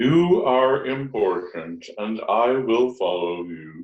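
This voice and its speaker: A man's put-on character voice, medium in pitch and very slow in pace. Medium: actual play. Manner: formal, simple, flat.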